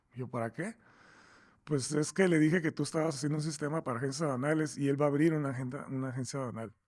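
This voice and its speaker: A man talks at a very fast pace with ordinary pitch variation, recorded very cleanly against a silent background. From Mexico, Tijuana. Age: 60s. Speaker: software company founder. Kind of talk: interview. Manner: halting, many repeated words.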